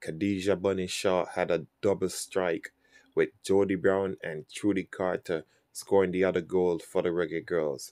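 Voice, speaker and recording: Recorded very cleanly against a silent background, a man's very deep, low voice comes through dry and close with no echo, his intonation monotone and flat. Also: moderate pace. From Jamaica. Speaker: sports YouTuber. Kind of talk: sports news commentary.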